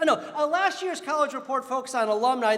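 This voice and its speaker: Noticeable background noise and audible room echo accompany a man whose extremely high pitch comes with lively intonation and an animated tone. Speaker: college dean. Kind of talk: convocation address. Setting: stage with audience. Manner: fast.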